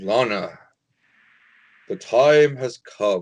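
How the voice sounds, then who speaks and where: The voice is a booming put-on character voice. Its intonation is lively. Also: man. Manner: soothing.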